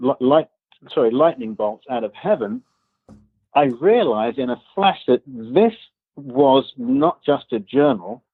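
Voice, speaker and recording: A man speaks in an English accent. His pace is moderate and his intonation lively. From England. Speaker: author and business consultant. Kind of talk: podcast interview.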